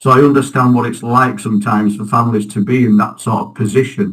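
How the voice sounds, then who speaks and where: A man with a Yorkshire accent, at a moderate pace and with fairly even intonation. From northern England, Halifax, West Yorkshire. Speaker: local election candidate. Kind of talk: interview.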